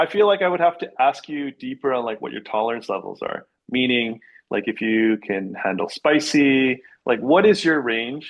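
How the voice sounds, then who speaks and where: With an unremarkable speaking voice and a Canadian accent, a man at medium pitch talks at a moderate pace with lively intonation. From Canada (Vancouver area), Korean-Canadian. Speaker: realtor. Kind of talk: casual interview.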